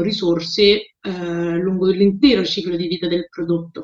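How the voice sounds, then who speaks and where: A woman is speaking. Her pace is moderate. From Rome, Italy. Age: 30s. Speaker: sustainability entrepreneur. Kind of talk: interview. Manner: halting, frequent fillers.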